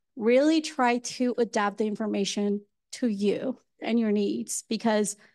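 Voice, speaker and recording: A woman speaks with a Colombian accent at a fairly high pitch. Her intonation is fairly even, and the background is quiet. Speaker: mental health educator. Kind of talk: panel presentation.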